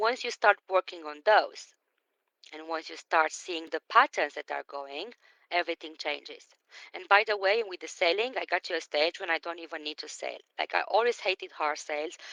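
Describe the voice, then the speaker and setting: A woman's fairly low voice in a non-native accent, bright and sharp in tone, with big swings in loudness and a dry, close sound with no echo. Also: ordinary pitch variation, moderate pace. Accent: foreign. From Romania. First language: Romanian. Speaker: business coach. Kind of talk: live stream talk. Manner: animated.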